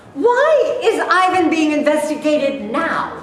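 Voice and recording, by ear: A woman's put-on character voice, high-pitched and slow, with big pitch swings and strong room echo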